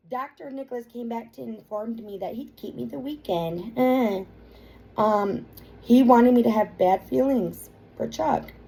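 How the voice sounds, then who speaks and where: With music in the background, a woman talks at a fairly slow pace using lively intonation. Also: fairly high pitch for a woman, big swings in loudness. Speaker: vlogger describing a legal claim. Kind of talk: personal monologue reading from court papers. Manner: halting with fillers.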